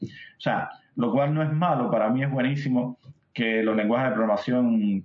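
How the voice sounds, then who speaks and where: A man with a Cuban accent talks at a medium pitch and a fairly quick pace. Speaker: software tech lead. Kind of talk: casual interview.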